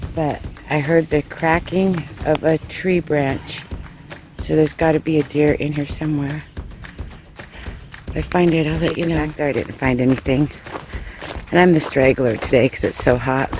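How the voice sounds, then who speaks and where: Music plays in the background as the speech moves at a moderate pace with long, frequent pauses. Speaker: hiking vlogger. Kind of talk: casual vlog narration. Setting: outdoors on trail.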